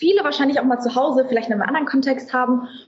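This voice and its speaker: The speaker is a woman with a high pitch. Her pitch varies in an ordinary way. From Frankfurt, Germany. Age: 20s. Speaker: social media influencer and fashion brand founder. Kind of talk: casual interview chat.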